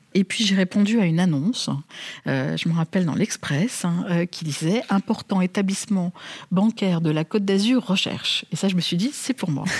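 Recorded very cleanly against a silent background, a woman's somewhat breathy voice comes across dry and close, with no echo. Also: medium pitch for a woman, ordinary pitch variation, moderate pace. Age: 50s. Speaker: bank chief executive. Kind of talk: interview.

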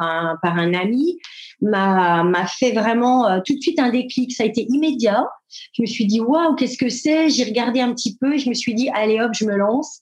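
Moderate pace from a woman with a fairly high pitch, ordinary pitch variation, and very even loudness. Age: 50s. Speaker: retail worker. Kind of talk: interview. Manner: halting.

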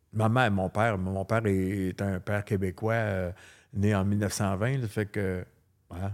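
A man's fairly low, monotone, flat voice in a very clean recording with a silent background. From Quebec. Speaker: hairdresser. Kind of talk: interview.

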